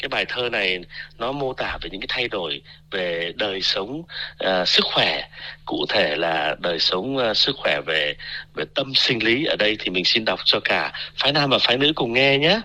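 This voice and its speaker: A man speaks fairly slowly at a medium pitch, with very wide pitch swings. His tone is bright and sharp, with vocal fry. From Vietnam. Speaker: university researcher. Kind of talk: radio interview.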